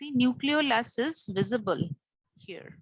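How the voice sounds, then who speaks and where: A woman's fairly high voice with vocal fry and a bright, sharp tone, very slow, with very wide pitch swings. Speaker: teacher. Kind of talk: lecture.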